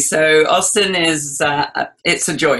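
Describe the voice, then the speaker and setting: Ordinary pitch variation in an English accent. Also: woman. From England. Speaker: cooking guest. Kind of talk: interview.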